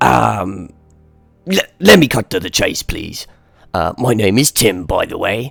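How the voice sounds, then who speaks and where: A man's put-on character voice, raspy and medium in pitch, at a fairly slow pace with faint music in the background. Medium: actual play. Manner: hesitant, polite.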